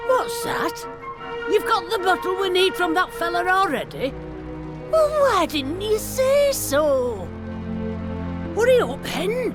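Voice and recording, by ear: With clear music in the background, a woman puts on a character voice at an extremely high pitch, swinging widely in pitch at a slow pace with long, frequent pauses.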